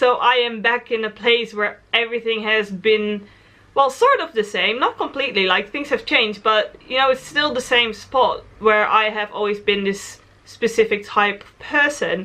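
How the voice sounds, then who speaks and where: With a Dutch accent, a woman talks at a moderate pace in a fairly high pitch, with ordinary pitch variation and big swings in loudness. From Netherlands. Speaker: travel vlogger. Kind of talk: casual vlog monologue.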